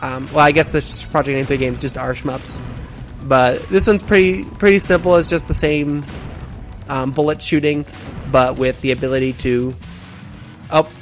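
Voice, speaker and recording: Noticeable background noise sits behind a man with a fairly high pitch and ordinary pitch variation. He speaks at a moderate pace with long, frequent pauses. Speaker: let's play gamer and game developer. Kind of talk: gameplay commentary. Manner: hesitant, many fillers.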